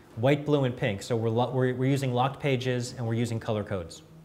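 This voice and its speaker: Audible room echo follows a man speaking fairly quickly at a medium pitch. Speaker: software company presenter. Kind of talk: product demo at industry event. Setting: conference room with audience. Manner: fast.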